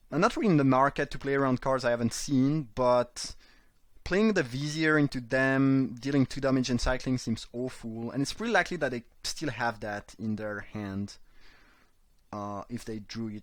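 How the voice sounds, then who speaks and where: In a very clean recording with a silent background, a man speaks at a moderate pace with a non-native accent. His pitch is medium, with ordinary variation. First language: not English. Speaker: card game streamer. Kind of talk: live gameplay commentary. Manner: halting, frequent repetitions.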